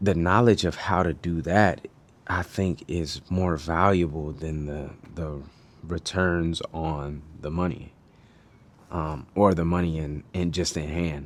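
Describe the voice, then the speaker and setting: The man's pitch is very deep and low. He speaks at a very slow pace with fairly even intonation. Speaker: video blogger. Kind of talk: casual monologue. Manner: mumbling, quiet.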